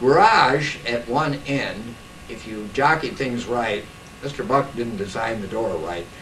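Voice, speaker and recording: A man with an American accent speaks at a medium pitch with ordinary pitch variation. Audible room echo and noticeable background noise surround him. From US Midwest, Iowa. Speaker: local historian. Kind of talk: oral history talk.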